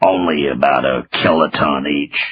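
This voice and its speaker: In a put-on character voice, a man speaks at a moderate pace with a raspy, very deep, low pitch. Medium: read story. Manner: stammers when angry.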